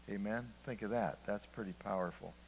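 A man in a plain, everyday voice, fairly low in pitch with fairly even intonation, over light background noise. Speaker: preacher. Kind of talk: sermon. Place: church.

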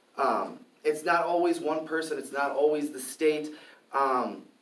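With an American accent, the speaker keeps a moderate pace, and audible room echo surrounds the voice. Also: man. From Milwaukee, Wisconsin; Wisconsin. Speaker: free speech and gun rights activist; debater. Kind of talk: formal debate. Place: classroom. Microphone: camera far.

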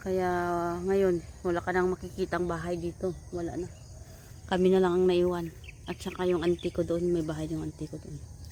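A woman speaks at a fairly low pitch in a dark, mellow tone, monotone and flat in intonation, with long, frequent pauses. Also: moderate pace. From Philippines, Visayas. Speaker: vlogger, overseas worker. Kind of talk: casual vlog narration. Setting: outdoors on a farm.

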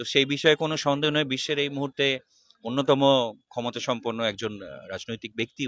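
Dry with no echo, a man's fairly high voice has a bright, sharp tone. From West Bengal. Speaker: political party worker. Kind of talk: interview. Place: street. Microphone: handheld.

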